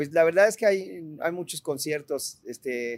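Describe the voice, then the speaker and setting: A man's voice swings very widely in pitch while he talks at a moderate pace. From Mexico, partly raised in Italy. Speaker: rock musician. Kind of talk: casual interview chat.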